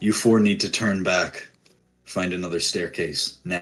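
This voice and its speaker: In a put-on character voice, a man speaks with a very deep, low pitch. His voice is raspy and gruff, at a moderate pace. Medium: actual play. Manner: gruff, cursing.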